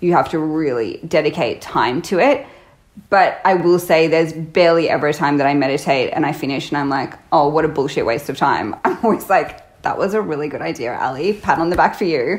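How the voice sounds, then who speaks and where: A woman with a very deep, low pitch speaks at a fairly quick pace in an Australian accent, with ordinary pitch variation. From Australia, Byron Bay (New South Wales). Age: 30s. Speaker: yoga teacher. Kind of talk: casual interview chat. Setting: remote call.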